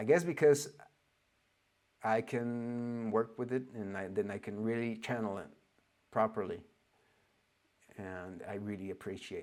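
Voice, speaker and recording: Speaking at a moderate pace with long, frequent pauses, a man with a fairly low voice shows ordinary pitch variation and big swings in loudness. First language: not English. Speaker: spiritual teacher. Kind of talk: lecture. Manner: halting.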